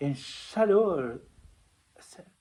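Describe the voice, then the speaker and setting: Intonation in this man's voice is lively. He talks at a very slow pace. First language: not French (speaking French). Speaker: spiritual testimony vlogger. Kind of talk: personal testimony. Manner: halting.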